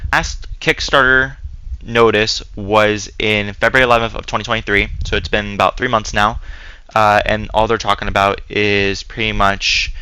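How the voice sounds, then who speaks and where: A man talks at a medium pitch with fairly even intonation. Noticeable background noise runs under the recording. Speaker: gaming YouTuber. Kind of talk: commentary video. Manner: monotone; hesitant, many filler words.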